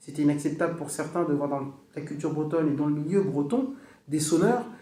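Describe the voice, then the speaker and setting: A man with a fairly high pitch talks at a fairly quick pace, using ordinary pitch variation. Room echo is audible, and background noise is noticeable. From Brittany, northern Finistère. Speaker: music teacher and bombarde player. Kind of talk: casual chat.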